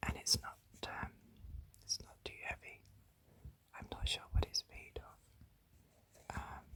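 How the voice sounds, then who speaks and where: A whisper comes at a very slow pace, broken by long, frequent pauses. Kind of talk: ASMR whispered ramble. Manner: whispered, soft.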